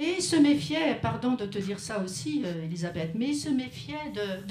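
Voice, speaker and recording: Audible room echo surrounds a woman speaking at a medium pitch and fairly slow pace, her pitch swinging very widely. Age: 70s. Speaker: writer. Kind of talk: panel discussion at a memorial tribute. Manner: hesitant, with frequent restarts.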